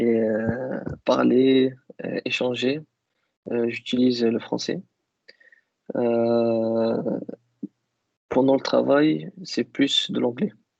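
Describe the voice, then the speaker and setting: A man at a medium pitch with ordinary pitch variation, at a very slow pace, with long, frequent pauses. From Algeria (Kabyle). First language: Kabyle (speaking French). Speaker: IT worker interviewed about languages. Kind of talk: interview. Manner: hesitant, many fillers.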